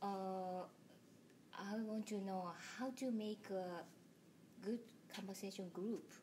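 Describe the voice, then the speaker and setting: A woman speaks at a very slow pace with long, frequent pauses, using a medium pitch, fairly even intonation and very even loudness. Noticeable background noise runs underneath. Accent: Japanese. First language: Japanese. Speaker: English learner interviewing teachers. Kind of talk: interview. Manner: halting.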